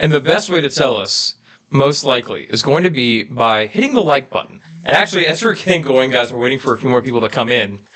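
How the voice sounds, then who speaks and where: A medium-pitched man at a very fast pace, with very even loudness over noticeable background noise. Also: lively intonation. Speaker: YouTube family channel co-host. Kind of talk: live stream Q&A chat. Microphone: reverb echo on his mic.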